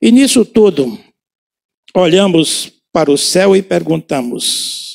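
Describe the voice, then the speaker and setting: With lively intonation, a man with a high pitch speaks at a very slow pace. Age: 70s. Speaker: pastor. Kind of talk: sermon. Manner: halting.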